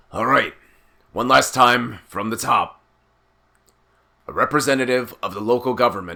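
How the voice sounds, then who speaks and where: Using a put-on character voice, a man speaks raspily in a medium pitch at a moderate pace, with fairly even intonation and long, frequent pauses. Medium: read story. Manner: blunt, impatient.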